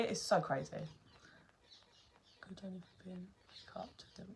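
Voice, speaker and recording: Here a woman speaks in an animated tone. Her voice is somewhat breathy. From London. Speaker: tarot reader. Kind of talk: casual chat on a livestream.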